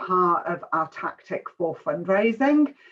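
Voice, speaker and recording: Speaking in an English accent, a woman has a medium pitch. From England. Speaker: charity fundraising and events manager. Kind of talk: online info session presentation. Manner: hesitant, many fillers.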